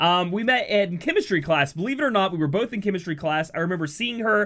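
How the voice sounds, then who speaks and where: High-pitched man with an American accent and ordinary pitch variation, on a very clean recording with a silent background. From US South, southern West Virginia. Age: 30s. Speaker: gaming YouTuber. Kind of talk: casual personal Q&A vlog. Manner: casual, with frequent filler words.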